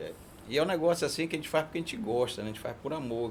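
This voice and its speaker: A man's fairly high voice at a very fast pace. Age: 60s. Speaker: diesel mechanic, business owner. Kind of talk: casual chat.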